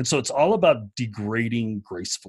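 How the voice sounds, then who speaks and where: A man's somewhat breathy voice at medium pitch, with lively intonation and a moderate pace. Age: 50s. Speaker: tech developer advocate. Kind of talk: casual interview chat.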